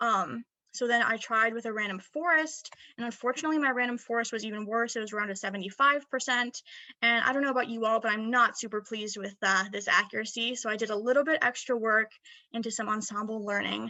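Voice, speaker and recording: Over a quiet background, a woman talks at a very fast pace and fairly high pitch with fairly even intonation. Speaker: student presenter; presenter. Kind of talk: academic presentation. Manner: hesitant fillers. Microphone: webcam.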